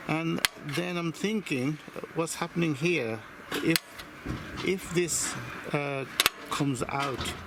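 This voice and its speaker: Over noticeable background noise, a man with a fairly high pitch talks very slowly, with ordinary pitch variation and long, frequent pauses. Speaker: hobbyist model engine builder. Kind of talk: workshop tutorial. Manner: loud; hesitant, many fillers.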